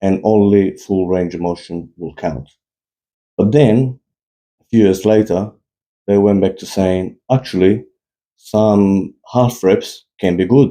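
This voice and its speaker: A man with a non-native accent speaks very slowly, leaving long, frequent pauses. His voice is fairly low and dark, mellow in tone, with ordinary pitch variation. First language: not English. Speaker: fitness YouTuber. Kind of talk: opinion monologue. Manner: animated.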